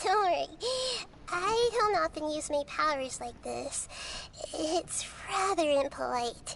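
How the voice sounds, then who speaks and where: A female-sounding put-on character voice, squeaky and high-pitched, moves at a fairly slow pace with long, frequent pauses. Clear background noise runs underneath. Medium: video game. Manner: calm, soft-spoken.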